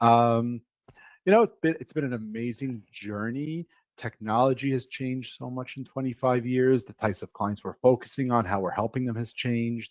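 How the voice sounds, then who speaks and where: Speaking at a moderate pace, a plain, everyday voice keeps fairly even intonation while showing big swings in loudness. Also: man, medium pitch for a man. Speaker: IT company founder. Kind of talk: webinar introduction.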